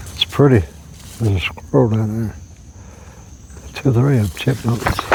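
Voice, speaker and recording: Noticeable background noise sits behind a man with a fairly low pitch. He speaks in a relaxed tone at a moderate pace, with lively intonation. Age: 60s. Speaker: camping vlogger. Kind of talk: casual vlog talk. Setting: outdoors. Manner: relaxed, hesitant with fillers.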